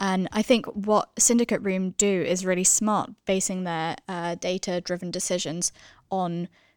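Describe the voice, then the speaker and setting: An unremarkable speaking voice from a woman, medium in pitch, at a moderate pace with fairly even intonation and a dry, close sound with no echo. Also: very clean recording, silent background. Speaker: podcast co-host. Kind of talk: interview questions, podcast hosting.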